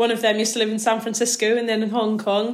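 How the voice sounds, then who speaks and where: A Northern Irish accent on a very clean recording with a silent background. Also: woman. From Northern Ireland. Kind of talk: casual interview on faith.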